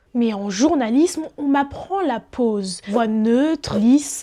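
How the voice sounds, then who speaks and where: Lively intonation marks this woman's high-pitched speech, heard over noticeable background noise. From France, Paris region suburbs. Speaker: journalist. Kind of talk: personal video essay narration.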